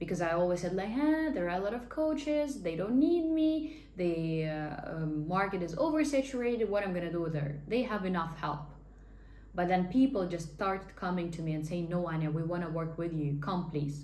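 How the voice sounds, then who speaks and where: With a Russian accent, a woman talks at a moderate pace in a fairly low voice with lively intonation, amid audible room echo and noticeable background noise. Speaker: life coach and hypnotherapist. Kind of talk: casual talking-head monologue. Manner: animated.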